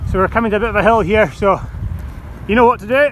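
Over noticeable background noise, a man speaks with a high voice and fairly even intonation. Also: dry sound with no echo. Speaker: cyclist vlogger. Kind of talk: casual vlog chat. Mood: playful, joking. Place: bicycle.

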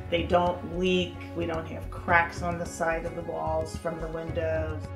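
The speech moves at a moderate pace over clear music in the background. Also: woman. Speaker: homeowner giving a testimonial. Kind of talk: customer testimonial interview. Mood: enthusiastic, pleased. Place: home room.

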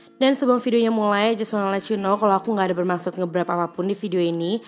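Music sits in the background as a woman talks at a very fast pace. Her pitch is medium. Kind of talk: casual talk to camera, house tour. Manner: upbeat.

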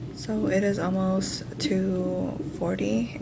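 A woman talks while noticeable noise fills the background. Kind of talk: casual vlog chat. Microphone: phone near.

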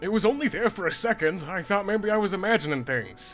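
Over clear music in the background, a man races along at a very fast pace in a put-on character voice pitched high. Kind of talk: comic dub. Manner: laid-back, terse.

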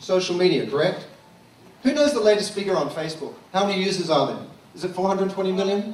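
Over noticeable background noise and audible room echo, a high-pitched man talks fairly quickly with an Australian accent. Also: ordinary pitch variation. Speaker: social media consultant. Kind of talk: keynote talk. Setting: stage with audience.

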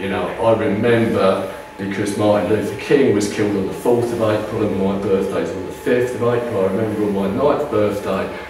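Audible room echo and light background noise surround a man speaking at a fairly quick pace. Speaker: author and lecturer. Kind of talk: lecture. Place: meeting room. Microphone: camera far.

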